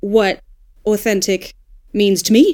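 A woman is talking. She has a fairly high pitch. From Australia. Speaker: audiobook narrator and dialect coach. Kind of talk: casual panel discussion.

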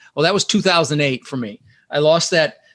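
Talking at a very fast pace with lively intonation, a man with an American accent is heard against a quiet background. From Denver, Colorado. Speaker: real estate investor. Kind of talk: interview.

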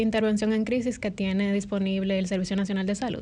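A woman at medium pitch, at a very fast pace with monotone, flat intonation. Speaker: psychiatrist. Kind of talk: interview.

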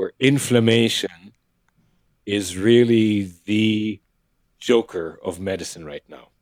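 A man's voice with a dry, close sound and no echo. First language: not English. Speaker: acupuncturist with emergency medicine background. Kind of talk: interview conversation. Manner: animated.

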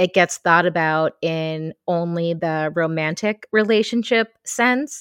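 Recorded dry and close with no echo, a woman with a normal speaking voice talks in a fairly low pitch with ordinary pitch variation. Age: 40s. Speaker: podcast host. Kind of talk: solo podcast monologue. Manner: warm, with frequent laughs.

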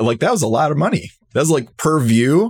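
Fairly quick and somewhat breathy, a man speaks in a fairly high voice with lively intonation, the sound dry and close with no echo. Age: 30s. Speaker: higher ed marketing podcaster. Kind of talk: casual interview chat.

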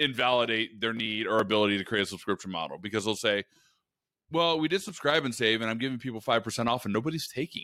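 In an American accent, a man speaks with a bright, sharp tone on a very clean recording with a silent background. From Oregon, US. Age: 30s. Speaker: e-commerce marketing executive. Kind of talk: casual interview.

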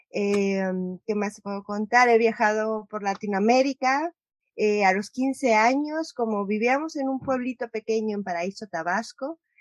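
A woman's fairly high voice at a fairly slow pace, with ordinary pitch variation, a normal speaking voice, and a dry, close sound with no echo. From Mexico, Guadalajara. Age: 30s. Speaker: filmmaker and nomadic entrepreneur. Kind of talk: interview.

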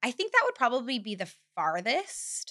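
The voice has a bright, sharp tone and ordinary pitch variation, moving at a moderate pace in a dry, close sound with no echo. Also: woman. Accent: Californian. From California, Bakersfield. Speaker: photographer. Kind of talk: casual chat.

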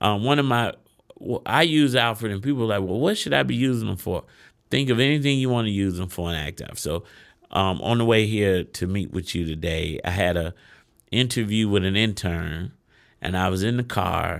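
A man with a normal speaking voice, fairly low in pitch, with lively intonation and an American accent, at a moderate pace on a very clean recording with a silent background. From Chicago west side. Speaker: business owner and CEO. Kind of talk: interview.

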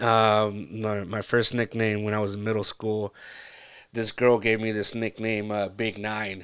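In a Californian accent, a man speaks fairly slowly and in a fairly low, monotone, flat voice, recorded very cleanly over a silent background. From Central Valley, California. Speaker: podcast host. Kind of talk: casual monologue. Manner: halting, many fillers.

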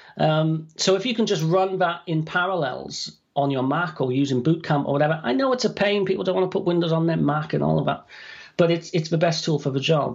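A man with a British accent talks at a fairly quick pace in a fairly high voice. His pitch varies in an ordinary way, and his loudness stays very even. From UK. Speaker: author and dictation software trainer. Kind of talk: podcast interview.

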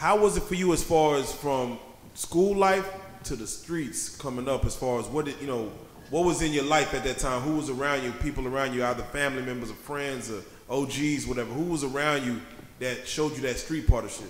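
Over noticeable background noise, a man talks fairly quickly in a fairly high pitch with ordinary pitch variation. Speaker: interviewer, podcast co-host. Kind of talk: casual interview chat.

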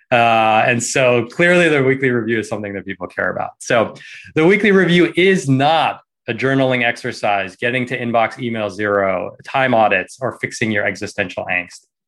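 Against a quiet background, a man talks in a normal speaking voice at medium pitch, with lively intonation and a moderate pace. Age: 40s. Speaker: productivity course teacher, former finance worker. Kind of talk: online workshop presentation.

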